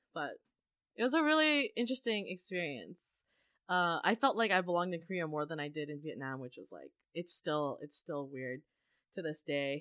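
Lively intonation at a moderate pace on a very clean recording with a silent background. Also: woman, fairly low pitch for a woman. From Vancouver area, western Canada. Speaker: podcast host, former English teacher abroad. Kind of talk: casual interview chat. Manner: animated.

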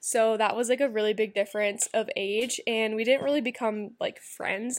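This woman has an ordinary speaking voice, pitched fairly high, with fairly even intonation. She keeps a moderate pace. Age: 20s. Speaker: podcast host. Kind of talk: casual monologue, personal life story. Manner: casual, many filler words.

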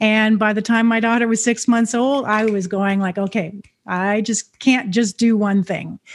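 Spoken at a moderate pace with fairly even intonation, it is a plain, everyday voice. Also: woman, fairly high pitch for a woman. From Canada. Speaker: entrepreneur. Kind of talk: interview.

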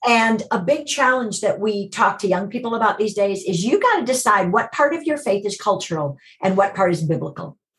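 A woman with an ordinary speaking voice and an American accent talks at a fairly quick pace with hardly any pauses. Her medium pitch carries lively intonation. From US Midwest, Chicago. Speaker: TV producer and ministry director. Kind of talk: casual interview.

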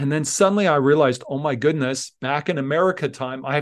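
Over a quiet background, a man with a Canadian accent talks at a very fast pace and a fairly high pitch, with ordinary pitch variation. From Canada, Alberta (Leduc). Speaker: engineering professor. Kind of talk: casual interview chat. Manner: animated.

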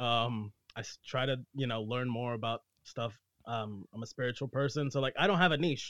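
A man talks in a normal speaking voice at a medium pitch and moderate pace, with ordinary pitch variation. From US-born, Nicaraguan family; moved back and forth. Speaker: actor, musician and content creator. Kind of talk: casual chat.

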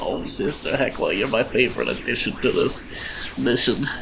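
A man in a put-on character voice at a moderate pace, over loud background noise.

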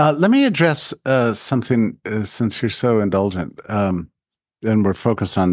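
A man's ordinary speaking voice with an American accent, fairly low in pitch, at a fairly slow pace with ordinary pitch variation, in a dry, close sound with no echo against a quiet background. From Texas, El Paso. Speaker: think tank president. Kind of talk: interview.

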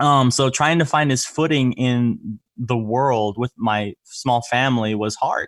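On a very clean recording with a silent background and a dry, close sound with no echo, a man with an American accent and an unremarkable speaking voice speaks at a fairly slow pace, medium in pitch, with ordinary pitch variation and hardly any pauses. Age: 20s. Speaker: sales entrepreneur. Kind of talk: interview.

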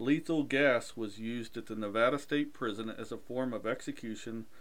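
Audible room echo around a man's medium pitch, ordinary pitch variation. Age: 40s. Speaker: podcast host. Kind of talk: casual chat; news reading.

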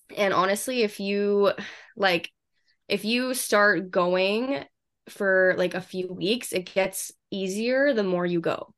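A woman with a Western Canadian accent speaks at a very slow pace in a medium pitch, her pitch varying in an ordinary way against a quiet background. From Canada, Vancouver. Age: 20s. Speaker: fitness influencer. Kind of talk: casual interview.

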